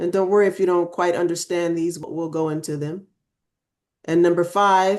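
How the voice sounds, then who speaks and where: Speaking at a moderate pace, a woman with a fairly low pitch uses monotone, flat intonation. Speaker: workshop co-facilitator. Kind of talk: online group lesson.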